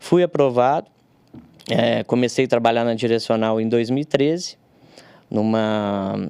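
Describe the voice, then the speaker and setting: The sound is dry and close with no echo as a man with a dark, mellow tone speaks at a moderate pace with ordinary pitch variation. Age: 30s. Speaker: civil engineer, technical consultant. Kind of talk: podcast interview. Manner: halting, many fillers.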